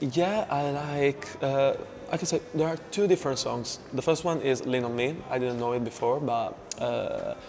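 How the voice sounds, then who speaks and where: The speaker has an Italian accent and talks at a moderate pace. Background noise is noticeable. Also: man. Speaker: choir member. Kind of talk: interview answers. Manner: hesitant.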